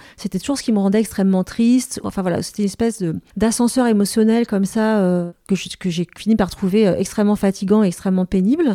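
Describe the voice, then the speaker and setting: A woman with a dark, mellow tone speaks at a fairly quick pace, her medium pitch showing ordinary variation. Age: 40s. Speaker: journalist and author. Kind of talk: interview conversation.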